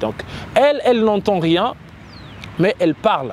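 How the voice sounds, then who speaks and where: With noticeable background noise behind him, a man talks with lively intonation. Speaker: web show host. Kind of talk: interview. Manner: hesitant, many fillers.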